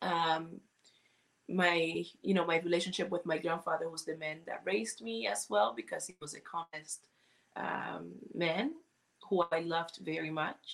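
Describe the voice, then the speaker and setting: A woman speaks at a moderate pace with fairly low pitch, ordinary pitch variation and vocal fry. Her loudness swings widely. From Cuba. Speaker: singer and business owner. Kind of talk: casual interview chat.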